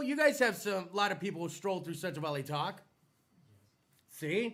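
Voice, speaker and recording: A man with an American accent speaks in a raised, projected voice and an animated tone. His pitch swings very widely. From US South. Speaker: podcast host. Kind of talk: casual chat.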